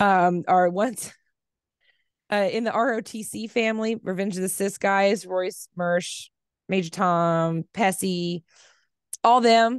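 In a dry sound with no echo and a quiet background, a woman with an American accent speaks at a medium pitch with fairly even intonation. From Kansas. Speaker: crafter and mother; podcast guest. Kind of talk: casual chat. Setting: video call. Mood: blunt, relaxed, sometimes heated. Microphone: headset.

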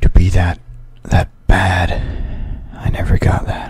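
In a put-on character voice, a man drawls raspily at a very slow pace. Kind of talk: ASMR roleplay, soft-spoken. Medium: game stream. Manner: grim, quietly vengeful; weary, despairing.

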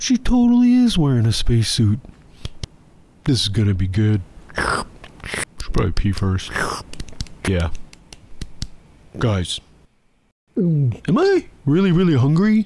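A cartoonish character voice at a low-to-middle pitch carries this clip. It moves at a fairly slow pace, with long, frequent pauses. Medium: puppet. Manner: sarcastic, skeptical.

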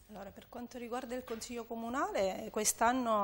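A woman speaks with monotone, flat intonation. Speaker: city council president; council guest. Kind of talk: panel debate. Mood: calm, explanatory. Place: studio. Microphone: lapel.

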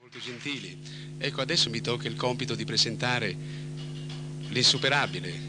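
A man talks at a fairly quick pace broken by long, frequent pauses, with noticeable background noise. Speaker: singer and TV host. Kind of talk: TV show host introduction. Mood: warm, courteous. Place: studio. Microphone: handheld.

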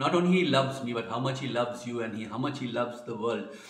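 This is a man's voice. Room echo can be heard. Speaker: lay preacher. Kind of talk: devotional vlog talk. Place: home room. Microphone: phone near.

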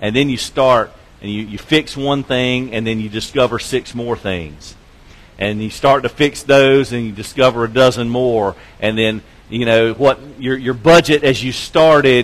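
Ordinary pitch variation marks a man's voice moving at a moderate pace. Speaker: preacher. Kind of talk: sermon. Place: church.

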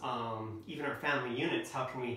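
Over audible room echo, a man speaks at a moderate pace. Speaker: presenter or coach. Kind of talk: lecture. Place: home room. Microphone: camera far.

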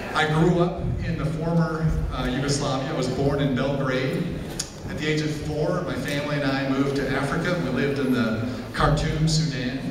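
A man speaks at a moderate pace with a fairly high voice and fairly even intonation. Audible room echo and noticeable background noise are present. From Belgrade, Serbia, then Chicago suburbs. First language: Serbian. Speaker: psychiatrist and Senate candidate. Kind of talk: campaign speech. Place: hall.

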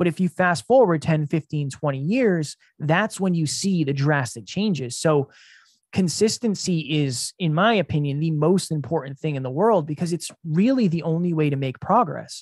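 A man speaks with lively intonation at a fairly high pitch and moderate pace. The sound is dry with no echo, and the background is quiet. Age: 30s. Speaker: entrepreneur; podcast guest. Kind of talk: interview. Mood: reflective, earnest. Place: home room. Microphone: studio mic.

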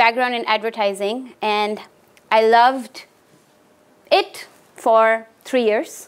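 A woman with an Indian accent speaks at a fairly slow pace and a fairly high pitch. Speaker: art professor. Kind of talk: lecture. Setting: stage with audience. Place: classroom.

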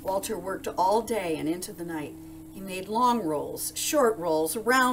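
Lively intonation in a natural reading voice.

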